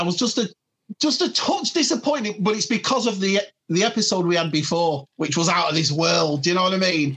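The speaker has a strong British accent. The delivery is fairly quick. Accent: thick British. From UK. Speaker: collector and furniture business owner. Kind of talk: casual chat.

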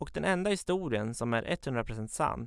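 Very wide pitch swings mark this man's medium-pitched voice. The recording is very clean, with a silent background. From Sweden, Katrineholm (Södermanland). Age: 20s. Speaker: journalism student telling his life story. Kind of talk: personal narrative, scripted. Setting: studio.

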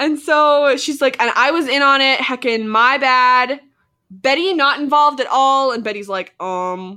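Projecting a raised voice in a Canadian accent, a woman talks at a fairly slow pace with a high pitch, ordinary pitch variation and a bright, sharp tone. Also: very clean recording, silent background. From Alberta, Canada. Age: 20s. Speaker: podcast host, actor and filmmaker. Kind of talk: casual chat.

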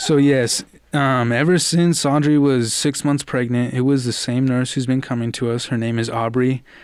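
Hardly pausing at all, a man with a medium-pitched voice talks with fairly even intonation against noticeable background noise. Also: moderate pace. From Albuquerque, New Mexico. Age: 20s. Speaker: young father. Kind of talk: interview.

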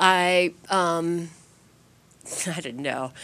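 With an American accent, a woman speaks in a fairly low pitch on a very clean recording with a silent background. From Kansas City, US Midwest. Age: 40s. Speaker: spin instructor and paralysis survivor. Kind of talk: interview. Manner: hesitant, many fillers.

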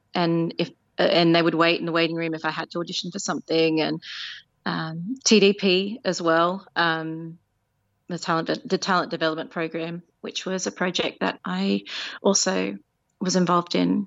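In an Australian accent, a woman speaks at a moderate pace. Her pitch is fairly low, with ordinary variation. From Australia, Penrith (western Sydney). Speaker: musical theatre performer. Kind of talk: interview.

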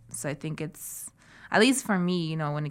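In a very clean recording with a silent background, a woman with a fairly low pitch speaks at a fairly quick pace. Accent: Spanish. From Santiago, Chile (born in Arequipa, Peru). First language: Spanish. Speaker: artist and traditional medicine researcher. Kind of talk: interview. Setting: studio. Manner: frequent filler words.

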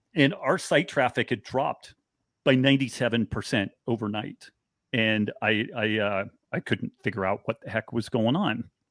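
A man with an American accent speaks at a moderate pace in a normal speaking voice, with a medium pitch and ordinary pitch variation, on a very clean recording with a silent background. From rural Northern California. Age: 50s. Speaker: author and biochemist. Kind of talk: interview.

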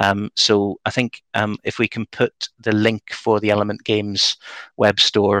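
Monotone, flat delivery at a moderate pace, with a dry, close sound, no echo and a quiet background. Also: man, fairly low pitch for a man. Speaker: podcast host. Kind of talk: casual chat. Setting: video call.

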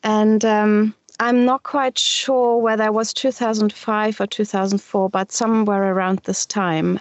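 A woman with a German accent speaks at a moderate pace in a fairly high pitch. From Germany, Düsseldorf. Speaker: shibari practitioner and teacher. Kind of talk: interview. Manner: halting.

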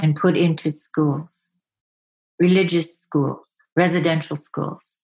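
A woman speaks very slowly, somewhat breathy, with fairly low pitch and a monotone, flat intonation. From Yukon, Canada (First Nation village). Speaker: storyteller and artist. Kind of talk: interview. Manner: hesitant, with fillers.

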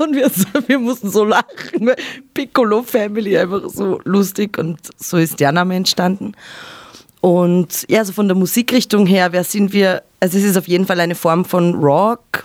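A woman with an Austrian accent, medium pitch and a moderate pace. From Upper Austria. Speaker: singer and guitarist in a band. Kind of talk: casual interview. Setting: radio studio.

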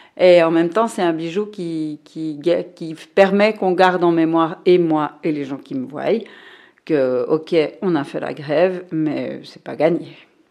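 A woman speaks in a dark, mellow tone at a fairly low pitch. She talks very slowly, and her loudness swings widely. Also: ordinary pitch variation. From Switzerland, Fribourg. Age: 50s. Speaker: librarian. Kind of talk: casual interview.

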